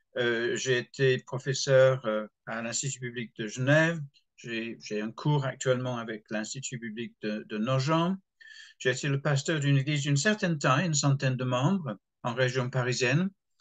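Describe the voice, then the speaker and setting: The speaker has an English accent and talks at a moderate pace with ordinary pitch variation. The background is quiet. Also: man, medium pitch for a man. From England. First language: English (speaking French). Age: 70s. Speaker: retired pastor. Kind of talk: interview. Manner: hesitant, with fillers and repetitions.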